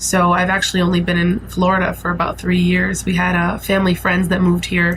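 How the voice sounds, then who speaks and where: A woman speaks in a New York accent at a fairly low pitch, with monotone, flat intonation. She talks at a fairly quick pace with hardly any pauses, amid noticeable background noise and audible room echo. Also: very even loudness. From New York City (Brooklyn, Staten Island). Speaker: musician. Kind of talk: interview testimony.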